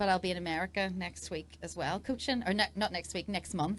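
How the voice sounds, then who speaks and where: This is a woman speaking. She has an Irish accent. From Northern Ireland. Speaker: dressage rider and coach. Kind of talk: casual interview. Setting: event fan zone.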